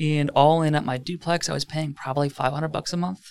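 A man with an ordinary speaking voice talks at a fairly quick pace in an American accent, using ordinary pitch variation. The sound is dry and close, with no echo. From Wisconsin, Lake Country area near Milwaukee. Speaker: real estate team leader. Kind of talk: casual interview.

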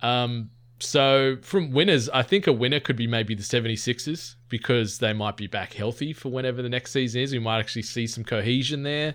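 A man with an Australian accent talks at a fairly quick pace and a medium pitch, his pitch moving in an ordinary way, with hardly any pauses. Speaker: podcast co-host. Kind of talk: casual chat.

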